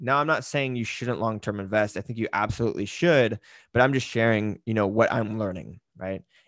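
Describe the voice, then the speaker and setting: With an ordinary speaking voice, a man talks at a fairly quick pace and medium pitch with ordinary pitch variation, in a very clean recording with a silent background. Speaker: podcast host and fitness business coach. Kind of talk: casual solo podcast monologue. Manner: casual, filler-heavy.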